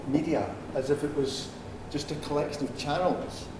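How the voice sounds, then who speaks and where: Someone speaks in a Scottish accent, with audible room echo and noticeable background noise. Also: man. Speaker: speaker on social media and business. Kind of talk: talk to a live audience. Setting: room with a live audience, no microphone. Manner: hesitant, many 'um' fillers. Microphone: speaking without a microphone.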